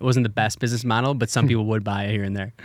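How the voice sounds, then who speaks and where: Here is a normal speaking voice with an American accent and fairly even intonation. The recording is very clean, with a silent background. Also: man. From Wisconsin, US Midwest. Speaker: marketing agency CEO. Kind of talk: casual interview.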